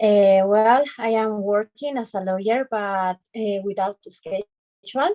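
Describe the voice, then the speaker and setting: A woman speaks at a medium pitch with a Spanish accent, her dark, mellow tone sounding dry and close with no echo against a quiet background, her intonation fairly even. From Bolivia, Cochabamba. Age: 30s. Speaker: lawyer. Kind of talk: self-introduction in English class. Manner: halting.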